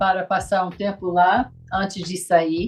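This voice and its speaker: A woman talks at a very slow pace. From US South, rural. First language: English (speaking Portuguese). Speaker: missionary. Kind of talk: casual interview.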